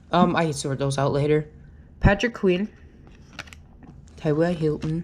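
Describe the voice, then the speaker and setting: At a moderate pace, a woman speaks in a very deep, low pitch. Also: ordinary pitch variation. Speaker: YouTuber opening trading card packs. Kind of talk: casual unboxing video. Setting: home recording on GoPro. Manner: loud, excited.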